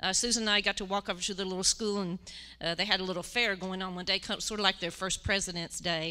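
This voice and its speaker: Speaking very fast with a West Virginia accent, a woman of medium pitch has a bright, sharp tone and monotone, flat intonation. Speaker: church mission team member. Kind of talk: testimony. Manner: halting, many fillers.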